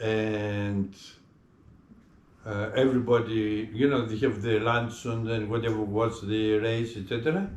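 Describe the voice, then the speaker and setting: In a Greek accent, a man speaks fairly slowly at a medium pitch. His intonation is monotone and flat, and room echo is audible. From Greece. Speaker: retired public servant. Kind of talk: interview. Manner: halting.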